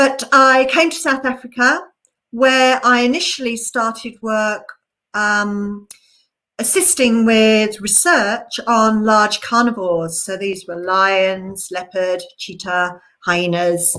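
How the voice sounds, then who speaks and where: A woman speaks with an English accent at a very slow pace. Her tone is bright and sharp. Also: fairly high pitch for a woman. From England. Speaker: conservation researcher. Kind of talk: online presentation. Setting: live stream.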